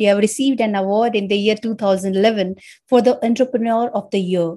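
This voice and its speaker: An ordinary speaking voice belongs to a woman with a fairly high pitch and ordinary pitch variation who talks at a moderate pace. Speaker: podcast host. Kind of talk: podcast interview.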